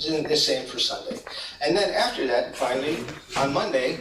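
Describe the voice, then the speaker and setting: A man talks at a fairly quick pace with noticeable background noise and audible room echo. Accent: American. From US. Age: 60s. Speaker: meditation teacher. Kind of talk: lecture. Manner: halting.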